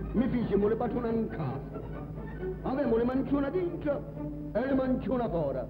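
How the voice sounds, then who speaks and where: Over background music, a man talks at a fairly quick pace in a high pitch with lively intonation. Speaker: poet and storyteller. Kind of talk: folk storyteller narration.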